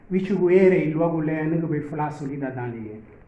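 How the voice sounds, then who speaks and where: Amid noticeable background noise and audible room echo, a man talks at a moderate pace with a fairly high pitch and fairly even intonation. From Honduras, Garifuna village. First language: Garifuna. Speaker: Garifuna community delegate. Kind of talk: formal speech at a gathering.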